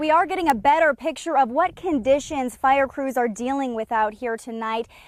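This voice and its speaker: Spoken at a moderate pace with ordinary pitch variation, the voice comes through over noticeable background noise. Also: woman, high pitch for a woman. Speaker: news anchor and reporter. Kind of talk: live field report. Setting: outdoors.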